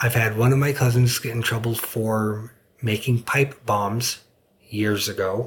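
A man at medium pitch speaks somewhat breathily at a fairly slow pace, his intonation monotone and flat. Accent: American. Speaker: military veteran. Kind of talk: interview. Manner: hesitant, many fillers.

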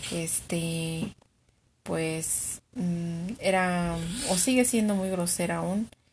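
Over a quiet background, a woman with a fairly low, somewhat breathy voice speaks at a very slow pace. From Mexico. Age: 20s. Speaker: client in a practice psychology interview. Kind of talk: therapy intake interview.

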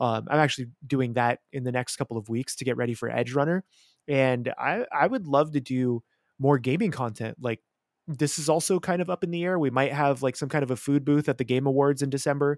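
A man with an unremarkable speaking voice, pitched fairly high, with ordinary pitch variation. He talks at a fairly quick pace, and the sound is dry and close with no echo. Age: 30s. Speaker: YouTuber and chef. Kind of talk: casual chat.

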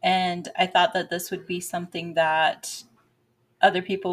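A woman talks in a plain, everyday voice, medium in pitch and at a fairly slow pace. The recording is very clean, with a silent background. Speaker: psychic coach podcast host. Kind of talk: intro and outro, then casual coaching talk. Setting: coaching call with poor audio, no microphone.

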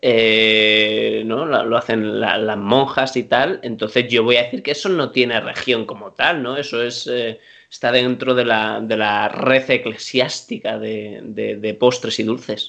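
A man talks with hardly any pauses in a bright, sharp tone at medium pitch with fairly even intonation. The background is quiet. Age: 30s. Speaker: podcast co-host. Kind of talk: casual chat.

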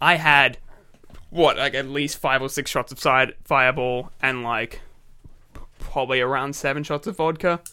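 A man's fairly high, bright and sharp voice in an Australian accent, at a moderate pace with fairly even intonation and long, frequent pauses. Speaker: podcast co-host. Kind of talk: casual chat.

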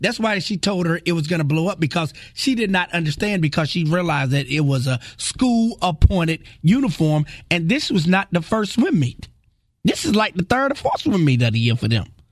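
With an animated tone and very wide pitch swings, a man with a high pitch talks at a fairly quick pace. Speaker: radio host. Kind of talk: radio DJ patter. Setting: studio. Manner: animated, rapid-fire, jokey banter.

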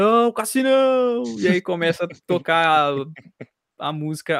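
The sound is dry and close, with no echo. A man talks in a high voice with lively intonation. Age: 20s. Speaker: podcast host, journalism student. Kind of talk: casual chat.

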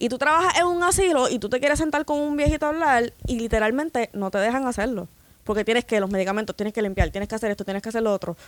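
Delivered at a very fast pace with lively intonation, the speech has a dry, close sound with no echo on a very clean recording with a silent background. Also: woman, fairly high pitch for a woman. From Puerto Rico, San Lorenzo. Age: 20s. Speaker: co-worker guest. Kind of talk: casual chat.

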